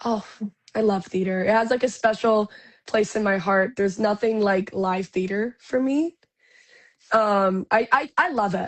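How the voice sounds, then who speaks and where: A woman talks at a fairly slow pace with a fairly high pitch and ordinary pitch variation. The sound is dry and close, with no echo. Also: quiet background. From Canada, Ontario. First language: Spanish. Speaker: actress. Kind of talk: interview.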